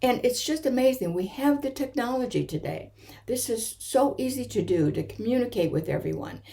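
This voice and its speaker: A woman's high-pitched voice, dark and mellow in tone, with lively intonation at a fairly quick pace. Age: 70s. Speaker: author. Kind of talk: video talk. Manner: hesitant, with fillers and restarts.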